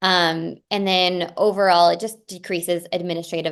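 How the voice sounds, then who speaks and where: Monotone, flat intonation runs through this woman's speech. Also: quiet background. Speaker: dietitian presenting advocacy training. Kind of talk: webinar presentation. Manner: fast; frequent fillers (um).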